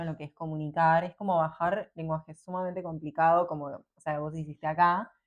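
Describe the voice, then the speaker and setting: Fairly quick, monotone female speech with flat intonation at a fairly low pitch. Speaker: podcast host. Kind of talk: casual interview chat.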